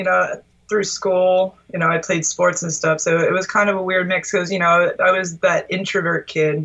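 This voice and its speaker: A woman with a Philadelphia accent speaks at a moderate pace, her medium pitch and bright, sharp tone held in a monotone, flat intonation. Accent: Philadelphia area American. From US Northeast, Delaware County outside Philadelphia. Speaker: guitarist. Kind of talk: casual interview chat.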